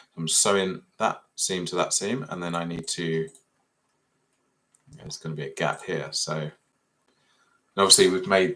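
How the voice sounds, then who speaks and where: At a moderate pace, a man talks in an English accent. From Essex, England. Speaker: 3D fashion design tutor. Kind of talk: live software tutorial. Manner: casual, thinking aloud.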